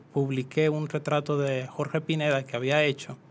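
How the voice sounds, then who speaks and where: Monotone, flat intonation from a man with a fairly high pitch. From Dominican Republic, rural San Cristóbal. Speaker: painter and visual artist. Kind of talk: interview. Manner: hesitant, many fillers.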